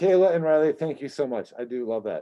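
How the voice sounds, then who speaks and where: Against a quiet background, a man with a dark, mellow tone speaks very fast at a fairly high pitch. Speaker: high school teacher. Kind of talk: tutorial.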